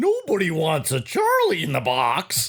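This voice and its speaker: A man uses a put-on character voice at a moderate pace. The voice is raspy. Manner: whiny, forlorn cartoon voice.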